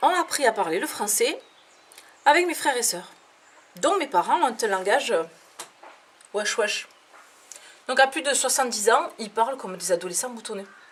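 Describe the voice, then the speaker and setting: Against noticeable background noise, a woman with a southern French accent speaks in an animated tone at a high pitch, her pitch swinging very widely between long, frequent pauses. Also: moderate pace. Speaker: comedian. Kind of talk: stand-up.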